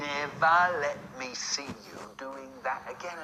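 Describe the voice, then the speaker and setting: In a put-on character voice at a low-to-middle pitch, the speaker goes at a fairly slow pace over clear background noise. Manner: funny voice.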